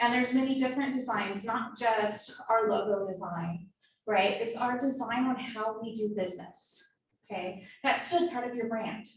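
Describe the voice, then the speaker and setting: A woman's somewhat breathy, fairly high voice at a moderate pace, with ordinary pitch variation and audible room echo. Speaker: marketing workshop presenter. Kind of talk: workshop lecture.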